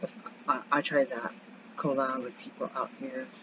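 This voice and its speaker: Quiet and very deep, a woman's low voice swings widely in pitch over noticeable background noise. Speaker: birth assistant and vlogger. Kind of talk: casual vlog check-in.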